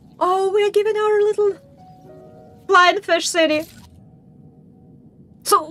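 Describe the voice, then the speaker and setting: With music in the background, a woman speaks at an extremely high pitch. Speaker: vtuber game streamer. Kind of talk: let's play commentary with read-aloud game dialogue. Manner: soft-spoken.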